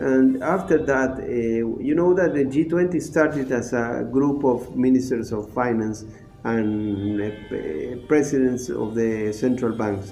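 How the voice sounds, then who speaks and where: Music sits in the background and room echo is audible as a man of medium pitch speaks at a fairly slow pace with hardly any pauses and ordinary pitch variation. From Argentina. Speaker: ambassador. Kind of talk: interview. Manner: halting, many fillers.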